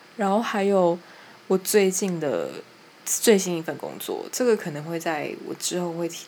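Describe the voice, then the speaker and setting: A woman talks with a Taiwanese accent. Her pace is fairly slow, with ordinary pitch variation. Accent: Taiwanese Mandarin. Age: young. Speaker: podcaster. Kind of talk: casual chat.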